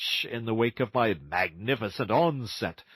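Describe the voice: This plain reading aloud keeps its intonation fairly even.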